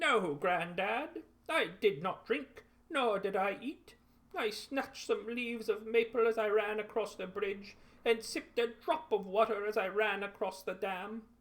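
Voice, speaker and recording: The pace is moderate throughout. A man does a put-on character voice set high in pitch. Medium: read story. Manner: boastful, defiant.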